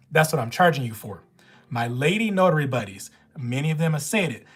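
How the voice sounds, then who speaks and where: Her voice very deep and low, a woman with a Southern US accent speaks in an animated tone with lively intonation. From Louisiana. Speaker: notary live streamer. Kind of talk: live stream Q&A.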